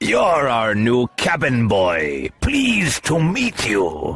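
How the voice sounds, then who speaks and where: Using a put-on character voice, a man speaks at medium pitch and a very slow pace. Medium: audio drama. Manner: genial, hearty.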